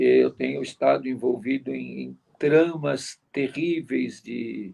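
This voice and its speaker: A man is speaking. His pace is very slow. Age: 70s. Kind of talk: interview, life story.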